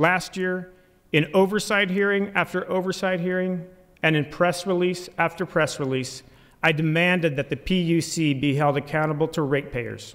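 A man with a high pitch, fairly even intonation and a moderate pace, in a quiet background. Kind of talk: formal inaugural speech. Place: hall.

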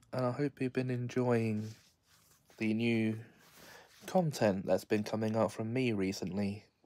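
At a fairly slow pace and with long, frequent pauses, a man talks in a dark, mellow tone at a medium pitch. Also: ordinary pitch variation. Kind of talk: casual talk to camera.

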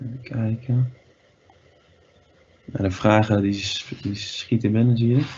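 A somewhat breathy man talks at a very slow pace with fairly even intonation. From Netherlands, Breda area (North Brabant); Netherlands. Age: 20s. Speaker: field hockey player giving guest lesson; guest teacher. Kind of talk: online guest lesson for school children; online lesson talk to children. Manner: halting, many filler sounds. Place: home room. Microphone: webcam.

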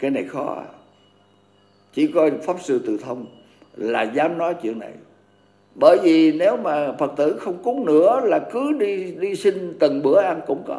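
A man's high-pitched voice with lively intonation, a fairly slow pace, and long, frequent pauses. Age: 80s+. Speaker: Buddhist monk teacher. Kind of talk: dharma talk. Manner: halting.

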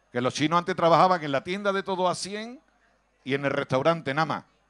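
On a very clean recording with a silent background, a man with a fairly high pitch speaks in an animated tone at a fairly quick pace, his pitch varying in an ordinary way. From Andalusia, Cádiz province (Villamartín). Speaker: stand-up comedian. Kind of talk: stand-up.

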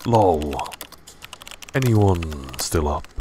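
With noticeable background noise behind him, a man with a very deep, low pitch speaks at a very slow pace using lively intonation. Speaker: ASMR creator. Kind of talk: comedic gaming ASMR roleplay skit.

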